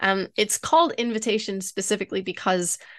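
A woman speaks in a plain, everyday voice at a fairly high pitch and a moderate pace, with ordinary pitch variation. The sound is dry and close, with no echo. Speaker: marketing expert guest. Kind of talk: casual interview chat.

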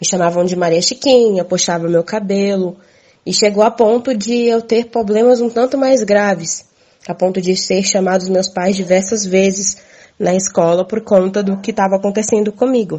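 Speaking at a moderate pace with fairly even intonation, a woman has a medium pitch and a normal speaking voice. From Minas Gerais, Brazil. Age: 20s. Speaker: farmer and community communicator. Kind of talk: interview testimony.

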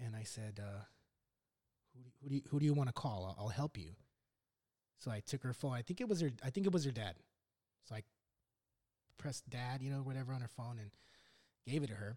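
A man with an American accent and a medium pitch talks at a very fast pace with lively intonation, a somewhat breathy voice, big swings in loudness and long, frequent pauses, in a dry, close sound with no echo. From Los Angeles, US. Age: 40s. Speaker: podcast host, Marine veteran. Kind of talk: casual chat.

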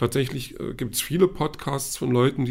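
Dark and mellow in tone, with vocal fry, a man talks at a moderate pace. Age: 40s. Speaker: podcast host, film and comics reviewer. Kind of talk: solo monologue podcast. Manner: hesitant, many fillers.

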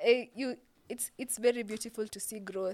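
A woman with a Kenyan accent speaks with ordinary pitch variation. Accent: Kenyan English, Sheng code-switching. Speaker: TikTok content creator. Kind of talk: casual interview chat.

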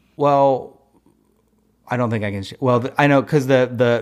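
This man talks at a moderate pace with a medium pitch. His intonation stays fairly even. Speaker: audio engineer and rules congress attendee. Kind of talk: casual interview chat.

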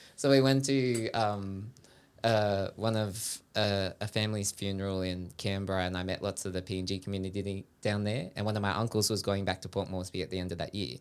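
With an Australian accent, a man talks at a fairly quick pace in a fairly low pitch and fairly even intonation, on a very clean recording with a silent background. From Sydney, Australia. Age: 20s. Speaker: dancer. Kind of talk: casual chat. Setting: studio.

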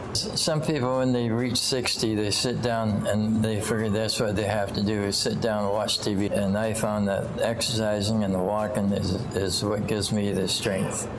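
A man with a fairly low pitch speaks at a moderate pace, with hardly any pauses, fairly even intonation and very even loudness. Noticeable background noise can be heard. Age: 80s+. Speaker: senior gym-goer interviewee. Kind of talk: interview testimony. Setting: gym. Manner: halting, repeats words.

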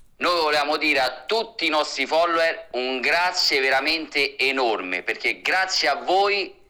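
A man talks at a moderate pace in a normal speaking voice, fairly high in pitch with ordinary pitch variation. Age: 30s. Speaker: social media content creator. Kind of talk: casual interview.

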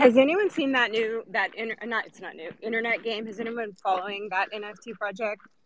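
Talking at a moderate pace with hardly any pauses, a woman has an unremarkable speaking voice at fairly high pitch. Her pitch varies in an ordinary way, while her loudness swings widely. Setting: outdoors, on a walk.

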